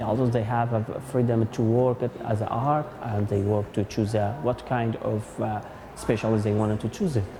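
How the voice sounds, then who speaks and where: The man talks at a moderate pace and a medium pitch. Noticeable background noise runs behind him. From Iraqi Kurdistan. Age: 30s. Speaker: artist and curator. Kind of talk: interview. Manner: halting.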